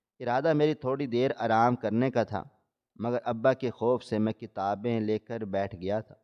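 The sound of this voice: An unforced reading voice with a quiet background.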